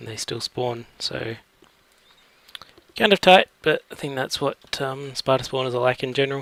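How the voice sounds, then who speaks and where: A man speaks at a medium pitch with ordinary pitch variation, leaving long, frequent pauses. His loudness swings widely, in a dry, close sound with no echo and noticeable background noise. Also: moderate pace. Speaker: gaming let's play creator. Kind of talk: gameplay commentary. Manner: casual, hesitant with fillers.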